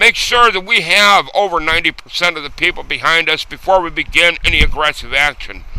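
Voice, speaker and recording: Amid noticeable background noise, a man with an American accent talks fairly quickly at a high pitch with ordinary pitch variation. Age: old. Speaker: war veteran. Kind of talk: video response to camera.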